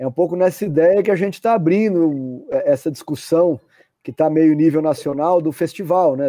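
The man's voice is fairly high-pitched yet dark and mellow in tone, moving at a moderate pace with a dry, close sound and no echo. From Brazil, not São Paulo. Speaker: live stream host of a culture festival channel. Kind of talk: casual live stream interview. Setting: online live stream. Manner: halting, repeats words.

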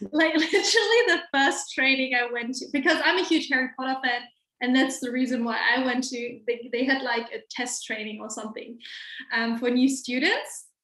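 A woman with a German accent speaks at a moderate pace in a raised, projected voice, her high pitch carrying a bright, sharp tone. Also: ordinary pitch variation. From Germany, Hamburg. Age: 20s. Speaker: lawyer and small business owner. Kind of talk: casual chat.

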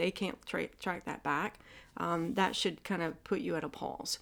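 A woman's fairly low voice in a Southern US accent, fairly even in intonation and moderate in pace, in a very clean recording with a silent background. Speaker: acupuncturist. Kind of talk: casual interview chat.

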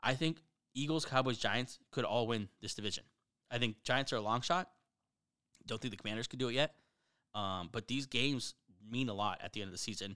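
Against a silent background in a very clean recording, a man with a bright, sharp tone and medium pitch talks at a fairly quick pace with ordinary pitch variation, leaving long, frequent pauses. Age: 30s. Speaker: sports podcast host. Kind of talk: casual chat. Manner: animated.

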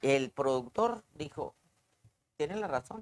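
A woman is talking. Her voice swings very widely in pitch. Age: 70s. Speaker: stage actress. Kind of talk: interview.

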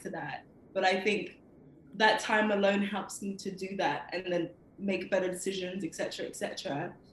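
Spoken with a London accent, the voice carries audible room echo over noticeable background noise. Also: woman. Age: 20s. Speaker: poet. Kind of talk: interview. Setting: video call.

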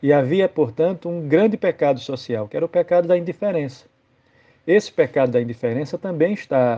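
A man with a plain, everyday voice speaks at a moderate pace, his fairly high pitch carrying lively intonation. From Brazilian Northeast. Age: 40s. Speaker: Anglican clergy / Bible reflection speaker. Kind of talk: biblical reflection, homily-style.

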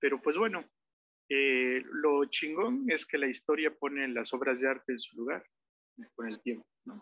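Words come at a fairly slow pace. The pitch shows ordinary variation. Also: man, fairly high pitch for a man. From Mexico, Oaxaca. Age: 30s. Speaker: musician and songwriter. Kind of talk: interview conversation. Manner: halting, many fillers.

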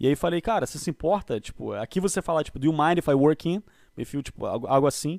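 A man at a very fast pace, with ordinary pitch variation and a dry, close sound with no echo. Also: fairly high pitch for a man, very clean recording, silent background. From Brazil, Rio de Janeiro. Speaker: podcast guest. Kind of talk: casual chat.

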